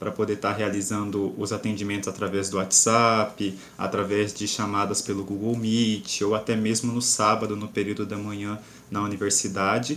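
This man speaks at a moderate pace in a fairly low pitch, his intonation monotone and flat. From Cuiabá, Brazil. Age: 20s. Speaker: engineering student and tutor. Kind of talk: casual panel discussion.

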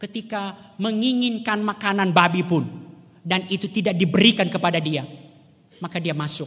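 A man speaks at a moderate pace. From rural Indonesia. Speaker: preacher. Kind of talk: sermon.

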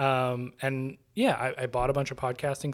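A man has an ordinary speaking voice at a medium pitch. He talks at a moderate pace. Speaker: board game podcaster. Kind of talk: casual chat.

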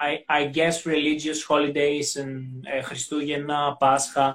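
A man with a Greek accent, fairly high-pitched for a man, at a very slow pace. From Greece, Xanthi. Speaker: language teacher. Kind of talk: casual interview chat. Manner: halting.

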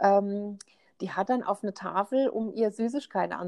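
Dry and close with no echo, a woman's fairly high voice comes at a moderate pace with ordinary pitch variation. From Rheinhessen, Germany. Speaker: podcast co-host. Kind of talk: casual chat.

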